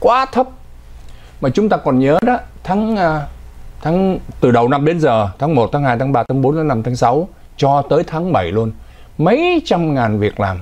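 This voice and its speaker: Speaking fairly slowly with long, frequent pauses, a man uses a fairly high pitch with very wide swings. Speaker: news anchor. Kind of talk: news commentary. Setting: studio. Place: studio.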